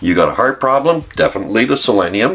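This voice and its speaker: A man speaks while noticeable background noise plays behind him. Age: 70s. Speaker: network marketing distributor. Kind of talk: testimony. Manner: enthusiastic.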